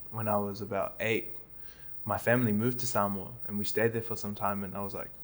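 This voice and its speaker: The speaker has a New Zealand accent and a fairly quick pace. Long pauses come often. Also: man. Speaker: comedian. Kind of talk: casual chat.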